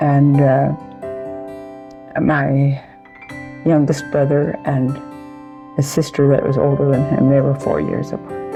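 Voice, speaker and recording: Very slow speech over music in the background. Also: woman. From rural homestead. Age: 80s+. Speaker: centenarian interviewee. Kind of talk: casual chat. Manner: halting.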